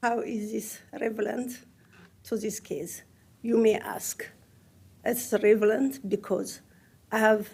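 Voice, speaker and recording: A woman with a strong non-native accent speaks at a very slow pace. Her voice is fairly high-pitched, with a dark, mellow tone. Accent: heavy foreign accent in English. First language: not English. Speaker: property owner testifying. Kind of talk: public testimony.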